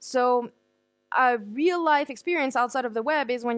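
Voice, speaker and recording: Against a quiet background, a woman speaks in a high pitch with ordinary pitch variation. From France. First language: French. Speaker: conference speaker, digital marketer. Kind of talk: conference talk. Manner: fast.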